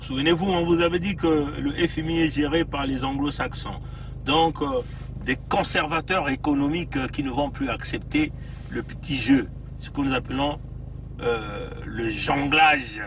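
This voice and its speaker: Over noticeable background noise, a man talks at a fairly slow pace and a fairly high pitch, leaving long, frequent pauses. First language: Bembe (speaking French). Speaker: political activist livestreamer. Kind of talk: livestream commentary. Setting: in a car, outdoors in cold. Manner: hesitant, many fillers.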